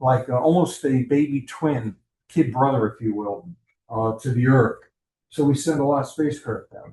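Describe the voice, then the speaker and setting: At a moderate pace and medium pitch, a man speaks in a dark, mellow, somewhat breathy tone, with ordinary pitch variation and big swings in loudness. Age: 70s. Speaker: astronomy club presenter. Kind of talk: lecture. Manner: conversational, with fillers.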